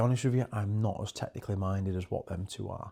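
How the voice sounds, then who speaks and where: In a British accent, a man speaks with a dark, mellow tone at a fairly low pitch and fairly even intonation. The recording is very clean, with a silent background. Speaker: stand-in podcast host. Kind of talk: casual commentary review.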